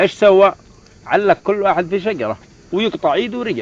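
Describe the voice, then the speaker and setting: A man's high-pitched voice with a Yemeni accent and ordinary pitch variation. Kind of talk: casual storytelling among friends.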